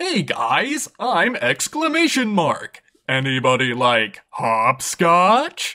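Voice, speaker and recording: A cartoonish character voice at middle pitch, very slow yet with hardly any pauses. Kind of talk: comic overacting. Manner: overexcited, then mock-solemn and sentimental.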